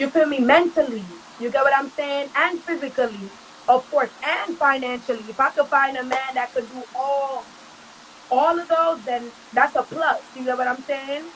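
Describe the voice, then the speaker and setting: Amid noticeable background noise, a woman talks at a moderate pace in a high voice. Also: ordinary pitch variation. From Jamaican American, raised in Brooklyn. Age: 20s. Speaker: reggae and dancehall artist. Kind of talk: interview answer. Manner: casual.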